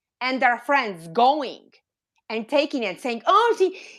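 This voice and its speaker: Speaking in a non-native accent, a woman sounds animated, her high voice moving through very wide pitch swings. The recording is very clean, with a silent background. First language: not English. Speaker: reborn doll collector, YouTuber. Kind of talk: live stream discussion.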